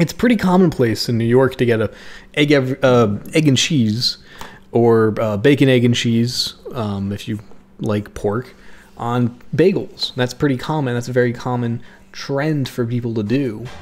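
Ordinary pitch variation from a man speaking at a fairly slow pace. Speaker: YouTuber. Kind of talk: unscripted rambling monologue. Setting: home recording. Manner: rambling, halting. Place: kitchen.

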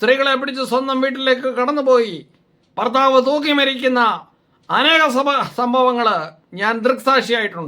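In a raised, projected voice, a man speaks at an extremely high pitch with a bright, sharp tone. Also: fairly even intonation. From Kerala, Kottarakkara (Kollam). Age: 60s. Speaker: doctor and video blogger. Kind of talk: opinion monologue. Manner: halting.

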